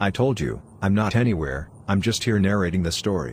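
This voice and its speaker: A man performs a growling, cartoonish character voice at a fairly low pitch and moderate pace, with lively intonation, very even loudness, and clear background noise. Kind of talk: storybook narration. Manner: calm, dry.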